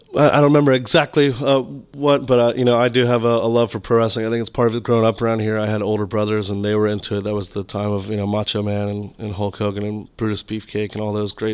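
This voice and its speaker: Talking at a very fast pace with hardly any pauses, a man with an American accent uses a fairly low voice and fairly even intonation. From Florida, St. Petersburg. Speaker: bar and restaurant co-owner. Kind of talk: casual chat. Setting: studio.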